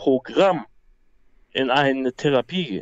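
Ordinary pitch variation marks a man speaking at a fairly slow pace. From Hamburg, northern Germany. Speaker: MMA fighter. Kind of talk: life story interview. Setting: phone call. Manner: halting.

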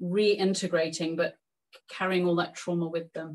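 With an English accent, a woman speaks at a moderate pace in a fairly low pitch and a flat, monotone intonation. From England. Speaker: author and historian. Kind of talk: lecture. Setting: video call.

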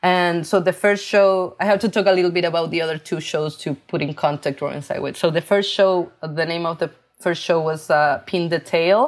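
A woman's fairly low voice with fairly even intonation and hardly any pauses, in a very clean recording with a silent background. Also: moderate pace. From Chile. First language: Spanish. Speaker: artist. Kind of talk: interview.

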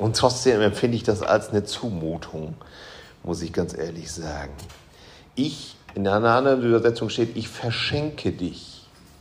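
Audible room echo surrounds a man speaking at a moderate pace in a fairly low pitch with lively intonation. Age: 40s. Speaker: pastor. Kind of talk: sermon.

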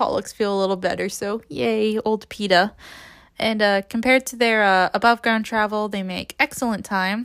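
Intonation stays fairly even as the text is read aloud in a natural voice.

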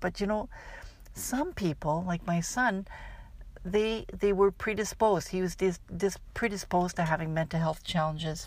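A woman with a plain, everyday voice speaks at a fairly low pitch with ordinary variation. The recording is very clean, with a silent background. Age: 60s. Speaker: life coach and podcast host. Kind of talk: scripted outro; solo podcast monologue.

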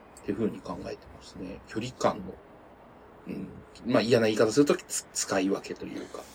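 Talking at a fairly quick pace with long, frequent pauses, a man with a fairly low, somewhat breathy voice uses lively intonation and big swings in loudness. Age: 30s. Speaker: podcast co-host. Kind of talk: casual chat.

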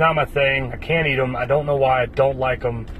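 A man's speech moves at a moderate pace. Noticeable background noise runs beneath his voice. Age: 30s. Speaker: podcast host. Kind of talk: solo casual monologue. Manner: animated.

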